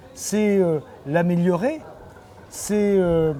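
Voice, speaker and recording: A man with a high pitch speaks over crowd noise in the background. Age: 60s. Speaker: mayor and politician. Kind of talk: interview answering a child. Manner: hesitant, many fillers.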